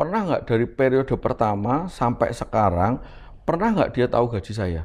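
This man talks at a fairly quick pace with vocal fry. His pitch swings very widely. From Semarang, Central Java; Central Java, Indonesia. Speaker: politician and businessman; politician. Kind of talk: casual interview. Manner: animated, jokes and laughs often. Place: home room.

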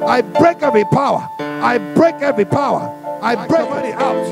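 Loud background music, a fairly slow pace and a dry sound with no echo. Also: man. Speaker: deliverance preacher / prayer minister. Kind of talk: charismatic deliverance prayer / spiritual warfare preaching. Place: church. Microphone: handheld.

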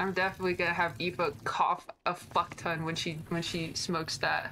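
A woman with a fairly low pitch at a moderate pace, over noticeable background noise. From Ireland; Ireland, Galway. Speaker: roleplay streamer. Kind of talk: casual live-stream chat.

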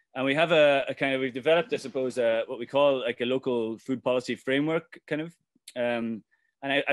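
With an Irish accent and a medium pitch, a man speaks with ordinary pitch variation, the sound dry with no echo over a quiet background. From Ireland. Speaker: farmer and activist. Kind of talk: presentation. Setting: video call. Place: home room. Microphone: webcam.

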